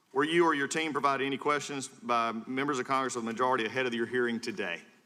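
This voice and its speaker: A medium-pitched man with an American accent at a very fast pace, ordinary pitch variation and noticeable background noise. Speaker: congressman. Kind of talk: congressional hearing questioning. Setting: hearing room.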